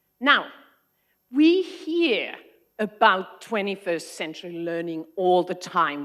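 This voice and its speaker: Here a woman speaks with a Finnish accent. Her pitch sits in the medium range. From Finland, Arctic Circle area. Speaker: education consultant. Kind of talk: conference talk.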